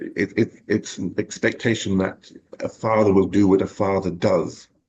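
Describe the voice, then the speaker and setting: A man's very deep, low pitch in a monotone, flat delivery. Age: 60s. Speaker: guest speaker on masculinity. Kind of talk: interview conversation. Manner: halting.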